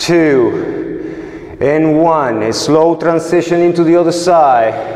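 Room echo is audible here. The voice belongs to a man. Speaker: martial arts instructor. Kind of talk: exercise instruction with counting. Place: gym.

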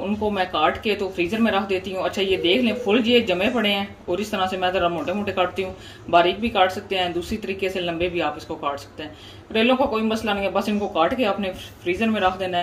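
A woman talking at a fairly quick pace with fairly even intonation, over light background noise. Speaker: home cooking vlogger. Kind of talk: casual cooking tutorial. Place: kitchen. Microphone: phone near.

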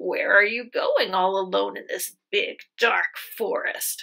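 A woman puts on a growling character voice. She speaks at a fairly slow pace. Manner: menacing, sly.

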